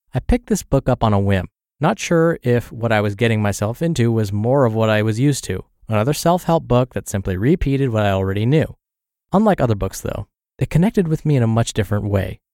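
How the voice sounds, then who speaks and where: On a very clean recording with a silent background and a dry, close sound with no echo, a man talks very fast at medium pitch in a dark, mellow tone with lively intonation. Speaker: podcast narrator reading blogs. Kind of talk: reading aloud.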